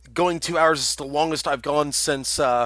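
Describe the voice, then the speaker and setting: A man's fairly high voice with a bright, sharp tone at a moderate pace. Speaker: game streamer and match caster. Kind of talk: live commentary. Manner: pausing to catch breath.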